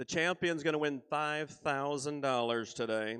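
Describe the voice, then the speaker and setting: In an unremarkable speaking voice, a man speaks at a moderate pace with fairly even intonation over a quiet background. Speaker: contest emcee. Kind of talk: announcing at a live event.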